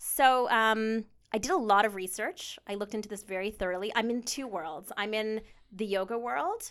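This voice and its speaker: In a very clean recording with a silent background, a woman uses a normal speaking voice, fairly high in pitch, at a moderate pace with ordinary pitch variation. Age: 40s. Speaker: yoga instructor. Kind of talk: interview.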